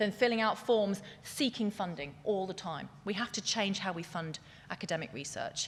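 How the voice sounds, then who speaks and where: With noticeable background noise, a woman talks in an animated tone and a British accent at a fairly quick pace. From England. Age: 40s. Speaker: scientific futurist, keynote speaker. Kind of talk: keynote speech. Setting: stage with audience. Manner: fast.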